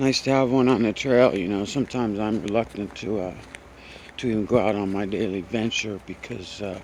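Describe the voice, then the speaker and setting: A man talks at a fairly quick pace with a fairly low pitch and fairly even intonation. Noticeable background noise sits behind him. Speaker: vlogger hiking outdoors. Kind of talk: casual vlog monologue while walking. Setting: outdoors on a forest trail. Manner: mumbling; rambling with many fillers.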